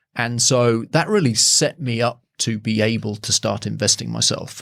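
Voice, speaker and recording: Speaking with an English accent, this man keeps a moderate pace. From England. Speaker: property strategist and buyer's agent. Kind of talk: podcast interview.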